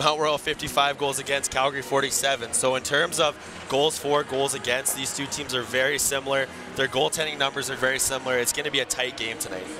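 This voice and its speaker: Over music in the background, a man talks very fast in a fairly high pitch with monotone, flat intonation. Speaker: colour commentator, co-host. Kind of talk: hockey colour analysis and commentary.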